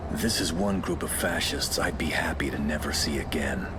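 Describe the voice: A whispered, cartoonish character voice at a moderate pace over loud background noise. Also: man.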